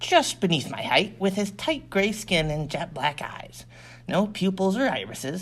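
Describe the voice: Lively intonation throughout plain reading aloud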